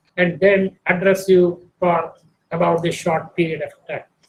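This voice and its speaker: The pace of the man's speech is moderate. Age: 80s+. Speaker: retired statistics professor, guest lecturer. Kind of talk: lecture. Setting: video call. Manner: formal.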